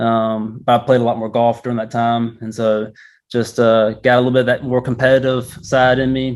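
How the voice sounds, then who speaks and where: A man with a North Carolina accent talks at a moderate pace and medium pitch in monotone, flat intonation. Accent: Southern US, North Carolina. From northeast North Carolina, Murfreesboro. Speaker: physical therapist, golf fitness business owner. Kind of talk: interview. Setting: golf learning center. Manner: casual, many fillers.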